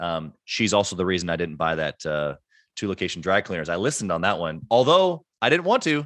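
Against a quiet background, a man speaks fairly quickly in a very deep, low pitch. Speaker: entrepreneur. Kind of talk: interview. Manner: fast; animated.

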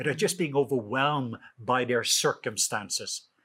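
At a fairly quick pace, a man of medium pitch speaks with a bright, sharp tone on a very clean recording with a silent background. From Norway. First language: Norwegian. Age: 50s. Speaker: author and minister.

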